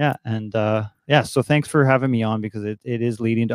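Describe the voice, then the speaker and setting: A man's medium-pitched voice with a Canadian accent, dry and close with no echo, over a quiet background. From Canada, Toronto. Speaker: DJ. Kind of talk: interview.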